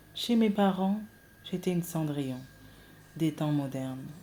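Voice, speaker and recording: With a dark, mellow tone, a woman speaks at a fairly slow pace. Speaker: storyteller. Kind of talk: reading aloud.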